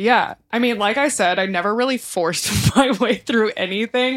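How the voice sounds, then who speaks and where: Speaking in a normal speaking voice with an American accent, the speaker moves at a fairly quick pace. Pitch variation is ordinary. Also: woman. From Texas, Houston area. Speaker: lighting designer turned social worker. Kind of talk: casual chat.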